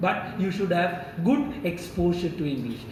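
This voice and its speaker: A man talks at a fairly slow pace with lively intonation. Audible room echo and noticeable background noise fill the recording. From India, Kerala. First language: Malayalam. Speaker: professor. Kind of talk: lecture. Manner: slowed down for non-native listeners.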